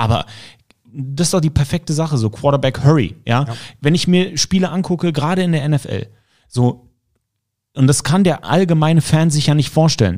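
A man with a fairly high pitch talks at a moderate pace with ordinary pitch variation and long, frequent pauses. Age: 30s. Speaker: podcast host and football commentator. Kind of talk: casual interview.

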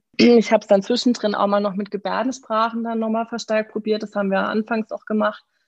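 Her pitch fairly high, a woman talks at a fairly quick pace in a monotone, flat intonation with hardly any pauses. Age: 20s. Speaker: mother, course participant. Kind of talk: interview. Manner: hesitant, many fillers.

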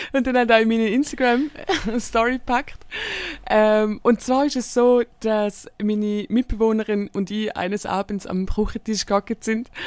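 A woman in a Swiss accent speaks at a fairly high pitch. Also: fairly even intonation, moderate pace. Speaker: podcast co-host, comedian. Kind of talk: casual chat.

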